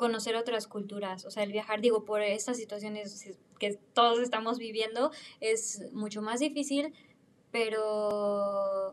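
In a Mexican accent, a woman with a fairly high pitch speaks at a fairly slow pace. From Mexico. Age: 20s. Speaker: former au pair. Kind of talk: casual interview.

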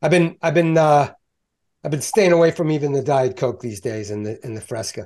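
In a very clean recording with a silent background, a man with an American accent talks at a fairly quick pace in an unremarkable speaking voice, fairly high in pitch and with lively intonation. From Baltimore, US. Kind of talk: casual chat.

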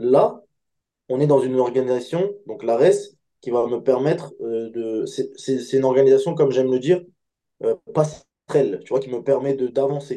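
In a dark, mellow tone, a man talks fairly slowly. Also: medium pitch for a man, ordinary pitch variation. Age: 20s. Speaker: MMA fighter. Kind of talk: interview. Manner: halting.

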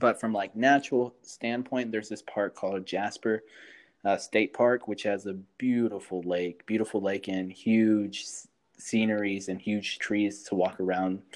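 A man with an ordinary speaking voice talks at a moderate pace, his pitch fairly low and his intonation fairly even. The recording is very clean, with a silent background. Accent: American. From Houston, Texas. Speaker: podcast co-host. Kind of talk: casual interview chat.

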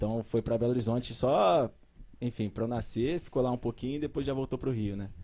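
A man with a slight mineiro accent, medium pitch and a dark, mellow tone, at a very fast pace with ordinary pitch variation. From Brazil, São José dos Campos area. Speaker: biology teacher. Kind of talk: casual chat.

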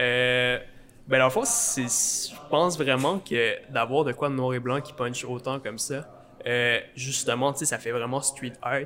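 Noticeable background noise sits behind a man with a medium-pitched voice. He talks at a very slow pace with fairly even intonation. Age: 20s. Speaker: art student, muralist. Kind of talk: casual chat. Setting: coffee shop.

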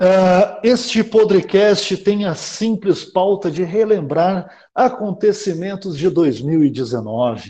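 Dark, mellow male voice, high in pitch with lively intonation, very slow yet with hardly any pauses. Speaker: podcast host. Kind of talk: casual chat.

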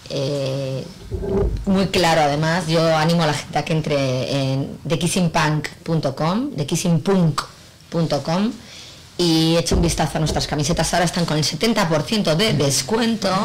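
A woman speaks at a very deep, low pitch with ordinary pitch variation and very even loudness, at a fairly slow pace. Noticeable background noise is present. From Spain, Bilbao (Basque Country). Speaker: clothing brand owner and actress. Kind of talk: casual radio interview. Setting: venue during a live broadcast.

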